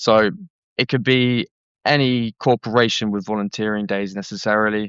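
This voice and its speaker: In a Southeast London accent, a man speaks at a moderate pace. His voice sits fairly low, with fairly even intonation. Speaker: charity worker. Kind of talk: podcast interview. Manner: casual, hesitant.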